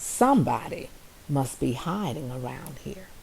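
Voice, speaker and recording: In a put-on character voice, a woman speaks very deep and low with lively intonation over clear background noise. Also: moderate pace. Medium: read story.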